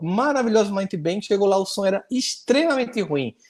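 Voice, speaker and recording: A man in a Paraíba accent speaks at a fairly quick pace with high pitch and lively intonation. His tone is animated. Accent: northeastern Brazilian Portuguese (Paraíba). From Brazilian Northeast, Paraíba (Campina Grande). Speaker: speaker at a spiritist arts forum. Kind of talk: interview conversation in online forum. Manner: fast.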